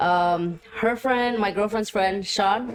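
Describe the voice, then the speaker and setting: The voice has a Spanish accent, fairly even intonation and a very slow pace. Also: woman. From US Midwest, Waukegan, Illinois. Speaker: musician. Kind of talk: interview. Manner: casual, many fillers.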